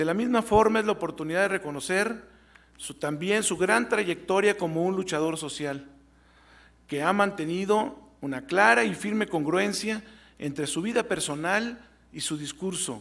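A man with a high pitch speaks at a moderate pace, his intonation lively. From Mexico. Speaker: university rector. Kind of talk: formal ceremonial speech. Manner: formal. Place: hall. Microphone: podium.

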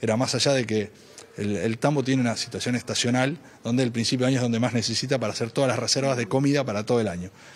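This man's medium pitch goes along with a very fast pace. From Santa Fe province, Argentina (small town). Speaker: provincial dairy sector official. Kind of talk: field interview. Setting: on location at public event. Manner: halting, many fillers and repetitions. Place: hall. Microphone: handheld.

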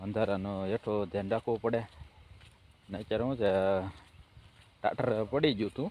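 A man speaks in a dry, close recording with no echo. His intonation stays fairly even. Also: fairly low pitch for a man. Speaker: farmer and vlogger. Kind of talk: casual vlog narration. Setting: outdoors on a farm at night.

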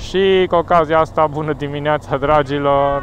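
Very slow speech with a dry sound and no echo plays over noticeable background noise. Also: man. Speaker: motorcycle rider vlogger. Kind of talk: casual vlog chat. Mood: cheerful. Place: motorbike. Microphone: helmet.

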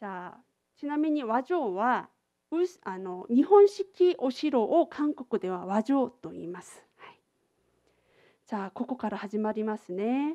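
A woman with a Korean accent, a dark, mellow tone and very wide pitch swings, at a fairly slow pace in a dry, close sound with no echo. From South Korea, Busan. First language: Korean (speaking Japanese). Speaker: international exchange coordinator giving a lecture. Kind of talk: lecture. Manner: casual, filler-heavy.

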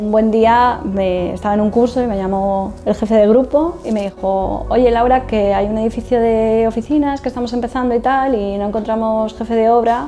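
The speaker keeps a moderate pace with hardly any pauses. Intonation is fairly even, with light background noise. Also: woman. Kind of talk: interview answer. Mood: warm, reminiscing, some laughs. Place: office.

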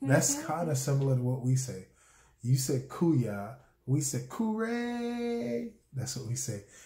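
A man with an American accent speaks at a very slow pace, in a dark, mellow, somewhat breathy tone. Audible room echo surrounds the voice. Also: medium pitch for a man. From Charleston, South Carolina. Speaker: husband explaining dialect. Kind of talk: casual conversation to camera. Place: home room. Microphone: phone near.

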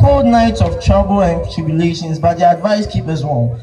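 Against noticeable background noise, a man talks at a moderate pace with very wide pitch swings. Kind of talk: spoken word poetry performance at a school speech day. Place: stage.

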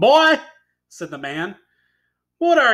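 A man's raised, projected voice comes through with a bright, sharp tone. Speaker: teacher. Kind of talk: classroom read-aloud lesson.

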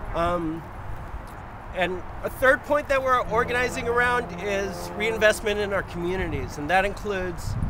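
A raised, projected voice comes at a moderate pace through noticeable background noise, with a dry sound free of echo. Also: man, high pitch for a man, ordinary pitch variation. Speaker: prison abolition activist. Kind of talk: protest speech. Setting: outdoors, solidarity protest. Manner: earnest, campaigning; hesitant, repeating words. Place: street. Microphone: phone near.

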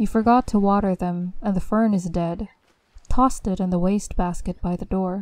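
A woman talks in an ordinary speaking voice at medium pitch. Her intonation is fairly even. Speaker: voice actor narrator. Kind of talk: scripted horror story narration, creepypasta read aloud. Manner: hushed, slow, eerie, building suspense with deliberate pauses.

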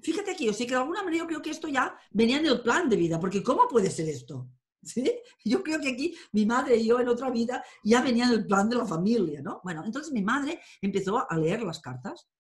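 A woman speaks with a high pitch at a fairly quick pace. Her pitch swings very widely, and the background is quiet. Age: 50s. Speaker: tarot and astrology teacher; tarot reader, interviewee. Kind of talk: interview. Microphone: webcam.

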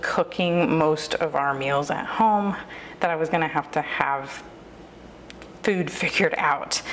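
A woman speaks with an American accent at a fairly low pitch. Her intonation is lively, over light background noise. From US South. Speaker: lifestyle YouTuber. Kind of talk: tutorial. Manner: casual, filler-heavy.

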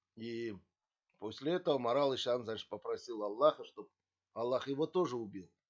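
With a quiet background, a man of medium pitch talks at a moderate pace with ordinary pitch variation. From Kazakhstan. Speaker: video blogger. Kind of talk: history talk to camera, partly read. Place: home room. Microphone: webcam.

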